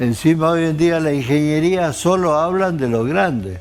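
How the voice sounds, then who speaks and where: With music in the background, a man with an Argentine accent speaks at a fairly slow pace with lively intonation. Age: 80s+. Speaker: engineer, former Olympic athlete. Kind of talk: interview answer.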